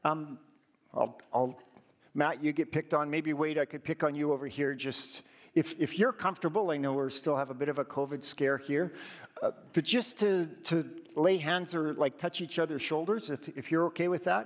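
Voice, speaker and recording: A man with a Canadian accent and an ordinary speaking voice, fairly high in pitch, with ordinary pitch variation at a moderate pace. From Alberta, Canada. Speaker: church district leader. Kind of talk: sermon. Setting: church.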